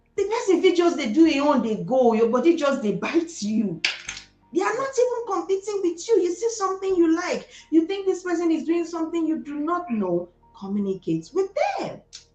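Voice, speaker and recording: A woman with a Nigerian accent at an extremely high pitch, fairly quick, with very wide pitch swings and music in the background. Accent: Igbo Nigerian. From Nigeria, Delta State (Igbo). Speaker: entrepreneur. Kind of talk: interview. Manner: animated.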